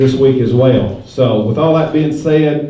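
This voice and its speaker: A man talks with fairly even intonation while noticeable background noise carries on behind him. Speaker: stockyard auction host. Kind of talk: public address announcement. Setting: PA system at a livestock sale. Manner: folksy, joking.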